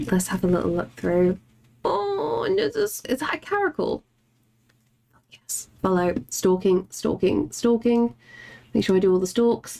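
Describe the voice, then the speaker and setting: With an English accent, a woman speaks at a fairly slow pace, leaving long, frequent pauses. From England. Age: 30s. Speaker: artist streamer. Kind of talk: casual chat. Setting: live stream. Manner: animated.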